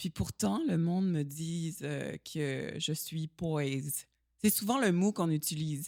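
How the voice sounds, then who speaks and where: A woman speaks very slowly in a very deep, low voice. The recording is very clean and dry, with a silent background, a close sound and no echo. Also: lively intonation. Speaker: stunt performer and actress. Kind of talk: casual interview chat. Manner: slow, poised speech.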